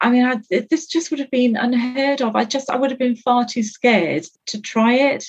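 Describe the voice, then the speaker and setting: Speaking fairly slowly, a woman with a British accent uses a high pitch. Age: 50s. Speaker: guest sharing weight-loss story. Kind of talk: casual interview.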